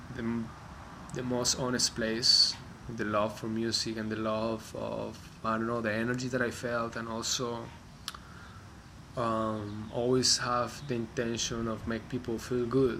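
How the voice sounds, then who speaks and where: Over noticeable background noise and audible room echo, a man with a Spanish accent speaks at a medium pitch in a monotone, flat intonation. His pace is fairly slow, broken by long, frequent pauses. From Colombia. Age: 30s. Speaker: musician. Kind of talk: personal reflection monologue. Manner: halting, many fillers and restarts.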